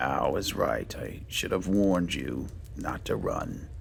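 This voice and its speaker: Loud background noise fills the recording. Over it, a man performs a put-on character voice. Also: fairly slow pace. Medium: game stream. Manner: wry, unhurried.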